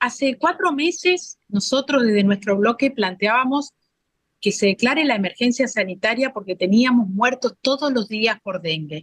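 Speaking at a moderate pace, a woman with a high-pitched voice uses lively intonation in a dry, close recording with no echo. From Formosa, Argentina. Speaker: provincial legislator. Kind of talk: interview.

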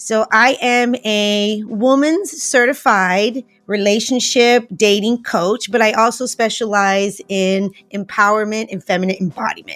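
The delivery is energetic and animated, at a fairly slow pace with ordinary pitch variation and hardly any pauses. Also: woman, fairly high pitch for a woman. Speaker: relationship coach. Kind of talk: interview. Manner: energetic, animated.

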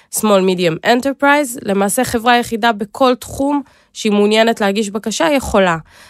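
A woman speaks in an unremarkable speaking voice at a fairly high pitch and moderate pace, with lively intonation. The sound is dry and close, with no echo. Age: 20s. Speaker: government innovation agency program manager. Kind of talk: interview.

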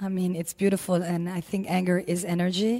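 A woman's fairly low, dark, mellow voice at a moderate pace, in monotone, flat intonation. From Lebanon. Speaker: yoga teacher. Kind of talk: casual interview chat.

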